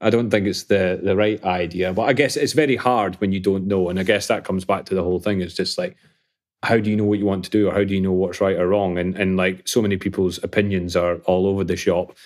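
In a very clean recording with a silent background, a man with a Scottish accent speaks very fast in a very deep, low pitch with fairly even intonation. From Scotland (Falkirk). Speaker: property tech founder. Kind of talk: interview.

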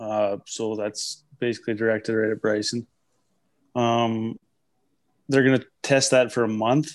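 A man talks at a medium pitch and a fairly slow pace, with long, frequent pauses. His intonation is monotone and flat against a quiet background. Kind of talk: casual banter podcast chat.

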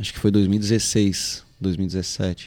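This man speaks at a fairly low pitch with a dark, mellow tone. His intonation stays monotone and flat. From Florianópolis, southern Brazil. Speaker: music producer. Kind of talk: casual chat. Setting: live-streamed podcast.

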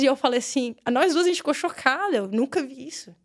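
A woman's voice with lively intonation. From Brazil, Brasília. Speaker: women's football coach. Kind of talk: casual interview. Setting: studio.

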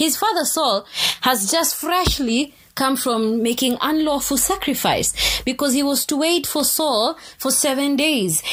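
A woman's high voice with an animated tone, very wide pitch swings and a fairly slow pace. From Kenya. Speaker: podcast host.

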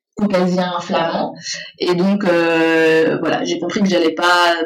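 Audible room echo fills this recording of a woman with a fairly low pitch. She talks at a very slow pace with fairly even intonation. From Brussels, Belgium (Saint-Josse). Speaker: makeup artist and beauty salon owner. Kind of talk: interview.

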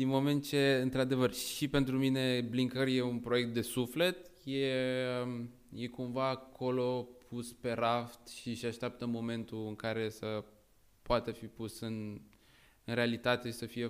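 The man has a normal speaking voice at a medium pitch. He talks at a fairly slow pace. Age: 20s. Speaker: tech startup co-founder, student. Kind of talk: casual chat.

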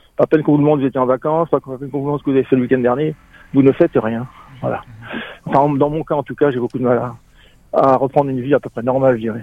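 Over noticeable background noise, a man speaks at a medium pitch in a monotone, flat intonation. His pace is very fast, yet he takes long, frequent pauses. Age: 60s. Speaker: former hotel manager in early retirement. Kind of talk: testimony.

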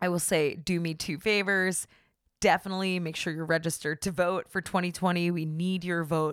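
On a very clean recording with a silent background, a woman speaks in an animated way at a moderate pace. Her voice is fairly low, with a bright, sharp tone. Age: 30s. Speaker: podcast host. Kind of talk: casual monologue.

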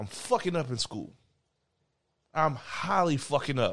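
With vocal fry and lively intonation, the speaker keeps a moderate pace. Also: man. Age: 20s. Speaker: podcast co-host, small business owner. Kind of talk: casual chat.

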